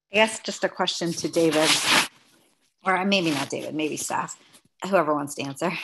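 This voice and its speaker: Over loud background noise, a woman with a fairly low pitch speaks at a moderate pace with ordinary pitch variation and long, frequent pauses. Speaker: city councilmember. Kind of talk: meeting discussion. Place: home room. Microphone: webcam.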